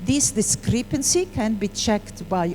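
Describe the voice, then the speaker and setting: A woman talks at a fairly slow pace with a medium pitch, over noticeable background noise. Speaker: hematology professor. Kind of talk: lecture. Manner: halting.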